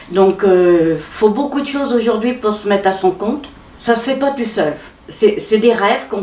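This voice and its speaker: A woman's fairly high voice at a fairly slow pace, with audible room echo. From Normandy, Pays de Caux. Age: 70s. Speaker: café owner. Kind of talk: interview testimony. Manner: halting.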